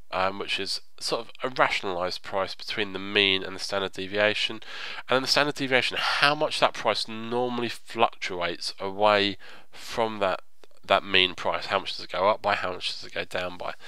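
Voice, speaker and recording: Bright and sharp in tone, a man with a fairly low pitch talks at a moderate pace, showing big swings in loudness and ordinary pitch variation. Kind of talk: tutorial narration, screen-recorded game guide. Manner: explanatory, conversational.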